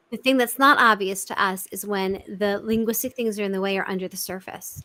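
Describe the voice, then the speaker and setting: At a fairly quick pace, a woman with a New York accent speaks in a bright, sharp tone with fairly even intonation. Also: medium pitch for a woman. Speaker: communication expert. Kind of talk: interview. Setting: live video chat. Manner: direct, fast-talking.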